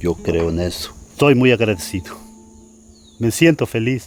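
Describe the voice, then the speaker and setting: A man talks with a Mexican accent. His pitch is fairly low. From Mexico. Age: 60s. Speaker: bricklayer. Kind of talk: interview. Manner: halting, repeats words.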